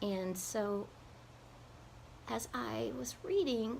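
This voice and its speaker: A woman speaks in a breathy voice. The room echo is audible. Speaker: singer and health vlogger. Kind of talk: personal video blog. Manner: casual with fillers.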